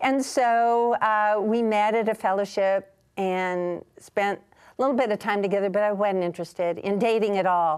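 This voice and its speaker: A woman with a normal speaking voice talks at a moderate pace and medium pitch, her intonation fairly even, against a quiet background. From US Midwest, Kansas City. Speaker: Bible scholar and ministry leader. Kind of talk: TV interview.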